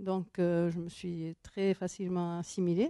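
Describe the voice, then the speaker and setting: A woman's voice has a dark, mellow tone. The sound is dry and close, with no echo. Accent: Basque. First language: Basque (speaking French). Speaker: author and professor. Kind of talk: interview. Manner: halting.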